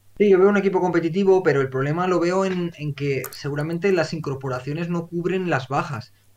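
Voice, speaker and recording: Over noticeable background noise, a man talks fairly quickly at a high pitch with ordinary pitch variation. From Valencia region, Spain. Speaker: football podcast host. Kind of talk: casual chat.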